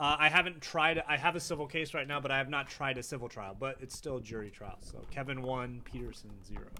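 A man's fairly high, bright, sharp voice with an American accent and vocal fry, at a fairly quick pace with hardly any pauses, ordinary pitch variation and big swings in loudness. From Northern California (Davis). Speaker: lawyer. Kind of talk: casual chat. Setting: outdoors on a patio.

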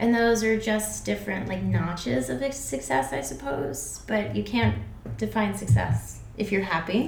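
A woman with an American accent, very deep and low in pitch, speaking fairly slowly with very wide pitch swings, with audible room echo and noticeable background noise. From US Northeast, Connecticut. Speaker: graduate student. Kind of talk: casual chat.

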